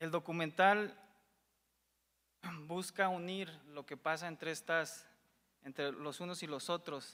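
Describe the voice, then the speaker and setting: At a fairly slow pace with long, frequent pauses, a man speaks in a bright, sharp tone at a high pitch with fairly even intonation. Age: young. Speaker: documentary filmmaker pitching a project. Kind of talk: pitch presentation. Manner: halting, many repetitions.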